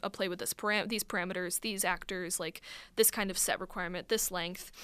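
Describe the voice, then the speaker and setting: A woman with a Midwestern American accent. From US Midwest, northern Illinois. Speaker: college student and playwright. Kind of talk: radio interview. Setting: radio studio.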